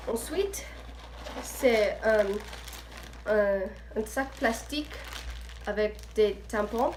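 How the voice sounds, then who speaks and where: A woman with an English accent speaks at a very slow pace, leaving long, frequent pauses over noticeable background noise. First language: English (speaking French). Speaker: student vlogger. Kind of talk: casual vlog. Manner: halting.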